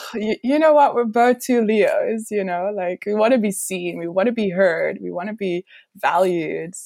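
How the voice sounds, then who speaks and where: A woman's dark, mellow voice at medium pitch, moderate pace and ordinary pitch variation. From Belgium. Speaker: host's former partner. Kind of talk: emotional personal conversation.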